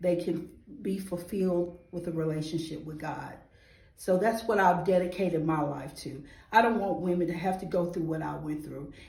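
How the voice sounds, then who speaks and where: A woman with a fairly low pitch speaks at a moderate pace, her loudness swinging widely. The room echo is audible. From US South, Atlanta, Georgia. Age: 40s. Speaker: nonprofit founder, award nominee. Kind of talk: testimony interview.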